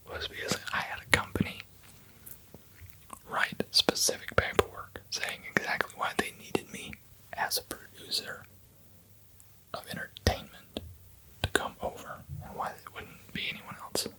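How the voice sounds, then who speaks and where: Someone whispers at a moderate pace with long, frequent pauses while noticeable background noise runs underneath. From American, lives in Denmark. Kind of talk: ASMR whispered rambling. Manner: whispered, soft-spoken.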